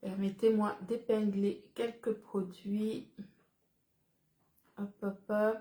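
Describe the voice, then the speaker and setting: Speaking at a very slow pace with long, frequent pauses, a woman uses a monotone, flat intonation in a somewhat breathy, dark, mellow tone. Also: medium pitch for a woman. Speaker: businesswoman selling supplements. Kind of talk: live-stream sales pitch. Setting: live stream.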